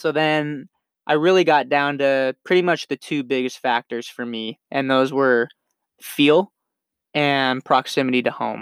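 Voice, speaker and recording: With a General American accent, a man has an ordinary speaking voice, fairly high in pitch, with fairly even intonation at a fairly slow pace, in a very clean recording with a silent background that sounds dry and close with no echo. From Nevada, Las Vegas area. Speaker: podcast host, college baseball player. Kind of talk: personal monologue. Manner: casual, repetitive fillers.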